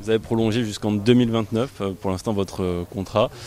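A man at a fast pace, with a fairly low pitch, fairly even intonation and a slightly mellow tone

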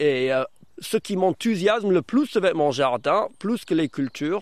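A man talks with a non-native accent. He keeps a fairly slow pace. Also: fairly high pitch for a man, lively intonation. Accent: foreign, learned French in Brittany.

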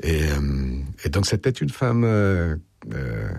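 Vocal fry marks this man's voice as he talks at a slow pace.

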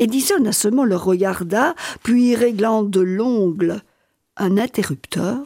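Over a quiet background, a person reads aloud in a natural voice, the pitch varying in an ordinary way.

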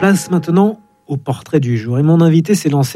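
A man with a fairly high pitch and a dark, mellow tone talks at a moderate pace with ordinary pitch variation.

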